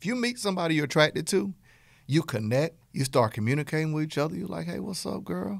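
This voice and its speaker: In a Southern US accent, a man talks at a very fast pace with an animated tone, a fairly high pitch and very wide pitch swings, on a very clean recording with a silent background. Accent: Southern twang. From US South. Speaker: business coach podcast host. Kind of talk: podcast lecture.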